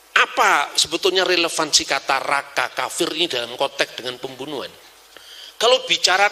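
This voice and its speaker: Animated in tone, a man speaks at a moderate pace and a fairly high pitch against noticeable background noise. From Java, Indonesia. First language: Javanese (speaking Indonesian). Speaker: religious scholar. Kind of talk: lecture.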